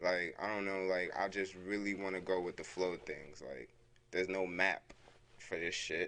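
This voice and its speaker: This man's voice sits fairly low in pitch and has a bright, sharp tone. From born in Brooklyn, New York; raised in DMV (Washington area) from 13. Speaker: rapper. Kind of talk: casual interview chat. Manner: filler-heavy, relaxed.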